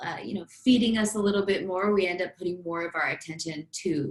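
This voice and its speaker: A woman with a fairly low voice talks at a fairly quick clip, keeping her intonation fairly even. She has an ordinary speaking voice. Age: 30s. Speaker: business coach and fitness influencer. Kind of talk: casual chat.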